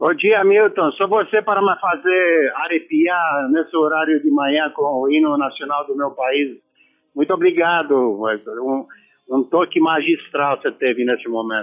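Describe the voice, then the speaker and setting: Speaking with a Romanian accent, a man uses fairly high pitch and lively intonation at a fairly slow pace. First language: Romanian (speaking Portuguese). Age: 60s. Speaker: former football player. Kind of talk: radio interview.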